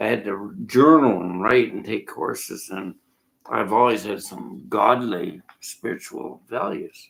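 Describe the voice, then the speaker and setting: A man talking at a fairly slow pace. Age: 60s. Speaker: horse trainer. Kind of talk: casual monologue. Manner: halting.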